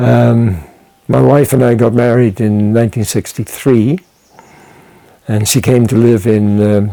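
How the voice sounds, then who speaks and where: With a Dutch accent, a man speaks fairly slowly in a fairly low pitch and fairly even intonation. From Netherlands (Wassenaar, near The Hague). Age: 80s+. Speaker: retired anthropologist. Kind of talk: interview. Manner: halting, many fillers.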